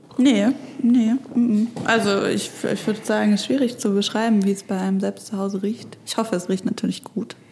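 A woman talks at a fairly quick pace in a fairly high voice. Her intonation is fairly even, and there is noticeable background noise. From Stuttgart, southwest Germany. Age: 20s. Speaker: author and graphic designer. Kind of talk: casual conversation. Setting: separate rooms, connected via headphones.

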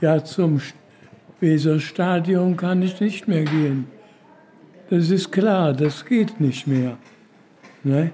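A man speaks at a high pitch with ordinary pitch variation. His pace is very slow, broken by long, frequent pauses. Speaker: care home resident. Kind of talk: interview.

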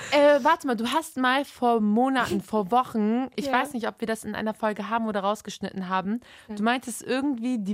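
Here is an ordinary speaking voice from a woman. Her pitch is fairly high, with ordinary variation. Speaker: podcast co-host. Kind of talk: casual chat.

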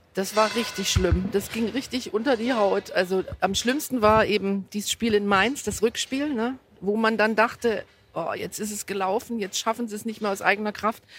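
A woman's fairly high-pitched, fairly even voice: a plain, everyday voice. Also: moderate pace. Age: 50s. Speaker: football fan using a wheelchair. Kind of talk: interview. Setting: in a football stadium.

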